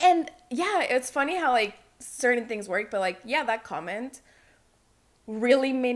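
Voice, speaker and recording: A woman speaks in a Spanish accent at a fairly slow pace. Her high voice swings very widely in pitch. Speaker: podcast guest. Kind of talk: casual chat.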